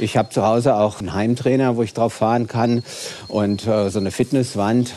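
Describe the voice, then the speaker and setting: The intonation stays fairly even. It comes with a Hessian accent. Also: man. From Hesse, Wiesbaden. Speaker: diabetes physician. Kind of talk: casual chat. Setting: outdoors.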